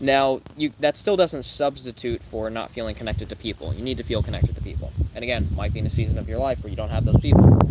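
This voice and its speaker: Noticeable background noise surrounds a man talking at a very fast pace with hardly any pauses. His pitch swings very widely. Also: medium pitch for a man, big swings in loudness. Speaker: life coach. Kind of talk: live stream Q&A reading chat questions. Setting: livestream.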